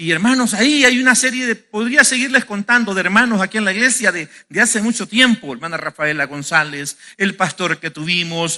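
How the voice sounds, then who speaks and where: The voice is raised and projected, with a bright, sharp tone. The pace is moderate. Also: man. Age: 50s. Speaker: pastor. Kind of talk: sermon. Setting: church. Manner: halting.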